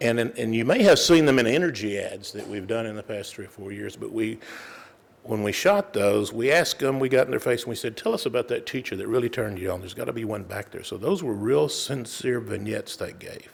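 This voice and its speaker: Very fast speech from a man with a Texas accent, with big swings in loudness. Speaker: corporate sponsor representative. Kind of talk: introduction speech.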